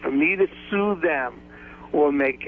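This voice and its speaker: There's noticeable background noise as a man speaks with lively intonation. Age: 60s. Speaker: lawyer. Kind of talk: phone-in call to radio show. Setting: phone call.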